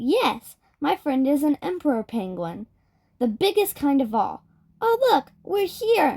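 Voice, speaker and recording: In a cartoonish character voice, a woman speaks at a fairly slow pace in a gentle tone, her high pitch moving in very wide swings. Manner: gentle, friendly.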